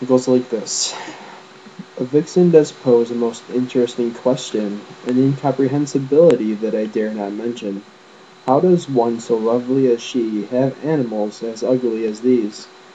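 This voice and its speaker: A man mumbling at a medium pitch and moderate pace, ordinary pitch variation, noticeable background noise behind him. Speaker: amateur poet. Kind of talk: poetry reading.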